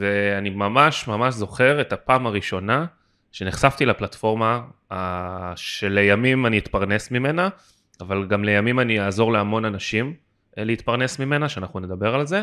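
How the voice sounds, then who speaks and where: A man with a bright, sharp tone speaks with ordinary pitch variation on a very clean recording with a silent background. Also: medium pitch for a man, moderate pace. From Israel. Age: 20s. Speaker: podcast co-host, LinkedIn consultant and lecturer. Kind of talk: casual podcast chat.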